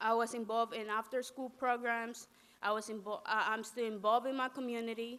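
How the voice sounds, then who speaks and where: A woman with a Spanish accent speaks at a fairly high pitch in a bright, sharp tone with monotone, flat intonation. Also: fairly quick pace. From Latin America, raised in New York City. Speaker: undocumented student activist. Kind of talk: testimony. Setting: press conference. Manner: halting.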